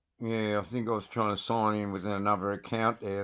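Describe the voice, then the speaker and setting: Quiet background behind a man with an Australian accent. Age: 60s. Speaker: livestreamer. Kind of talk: casual live stream talk. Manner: animated.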